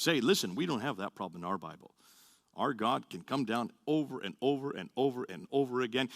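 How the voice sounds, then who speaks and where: Bright, sharp tone with vocal fry and very wide pitch swings at a fairly quick pace, in a very clean recording with a silent background and dry, close sound with no echo. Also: man. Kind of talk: lecture. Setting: audience talk, being filmed. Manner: fast; animated.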